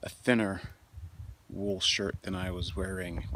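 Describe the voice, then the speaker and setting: A man's very deep, low voice amid noticeable background noise. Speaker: outdoor vlogger, fly fisher. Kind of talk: casual vlog narration. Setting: outdoors, mountain campsite. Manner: halting, many fillers.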